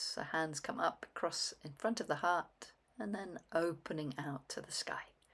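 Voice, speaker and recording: At a very slow pace, a woman talks in a calm tone with a fairly low pitch. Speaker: qigong instructor. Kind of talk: guided movement practice. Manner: calm, paced with breath.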